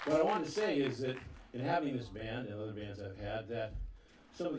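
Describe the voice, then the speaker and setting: Noticeable noise sits behind the man's voice. You can hear echo in the room. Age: 60s. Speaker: bandleader. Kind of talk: stage announcement to live audience. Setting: outdoor backyard concert with audience. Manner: halting, with frequent fillers and stammers.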